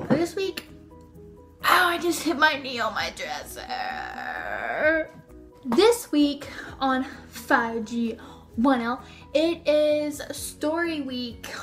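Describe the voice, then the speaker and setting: Music plays behind a woman speaking at a very slow pace with long, frequent pauses. Her high-pitched voice has lively intonation. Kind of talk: casual talk to camera. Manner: stuttering.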